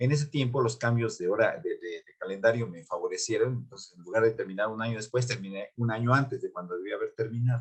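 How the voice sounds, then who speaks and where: A man talking at a very fast pace. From Mexico City, Coyoacán. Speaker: music teacher and pianist. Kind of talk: interview. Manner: halting, many fillers and repeats.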